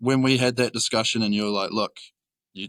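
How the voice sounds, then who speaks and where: With a New Zealand accent, a man speaks at a fairly quick pace in a bright, sharp tone with fairly even intonation, recorded very cleanly against a silent background with a dry, close sound and no echo. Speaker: roofing worker. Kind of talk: casual chat.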